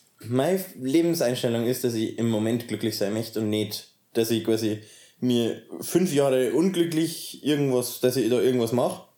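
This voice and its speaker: In a Bavarian accent, a man with a dark, mellow tone talks at medium pitch and a moderate pace with ordinary pitch variation. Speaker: interviewee in polyamorous household. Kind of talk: interview. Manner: halting.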